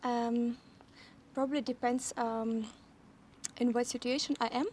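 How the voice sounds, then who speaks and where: A woman speaks in a Russian accent, her high-pitched voice delivered in a flat monotone. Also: fairly slow pace. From Ukraine. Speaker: interview guest, English learner. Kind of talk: casual interview. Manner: halting, many fillers.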